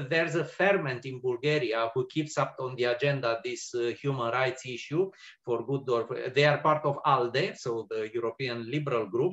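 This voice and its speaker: Over a quiet background, a man with a Romanian accent talks at a moderate pace in a fairly high pitch. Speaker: policy analyst. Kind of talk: panel discussion. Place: home room.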